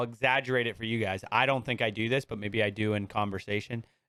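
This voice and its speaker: The speaker uses an American accent and a bright, sharp tone, keeping a moderate pace and fairly even intonation. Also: man. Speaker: podcast guest. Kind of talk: casual chat.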